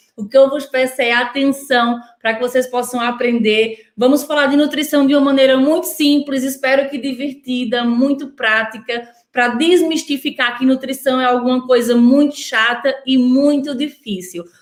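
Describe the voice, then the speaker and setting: Here a woman with a high-pitched voice talks at a moderate pace, with hardly any pauses and fairly even intonation. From northeast Brazil. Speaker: nutritionist. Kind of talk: online workshop talk. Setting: online video workshop.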